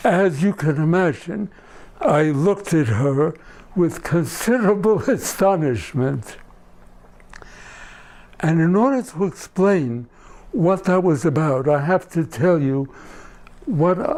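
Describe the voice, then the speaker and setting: A man with a high pitch speaks at a very slow pace with long, frequent pauses, lively intonation and very even loudness. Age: 80s+. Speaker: storyteller and cantor. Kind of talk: storytelling performance.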